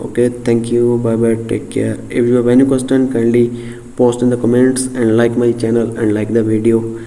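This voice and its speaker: Audible room echo surrounds a man who speaks at a medium pitch and moderate pace in a flat monotone. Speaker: software tutorial creator. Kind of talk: tutorial. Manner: halting, many fillers.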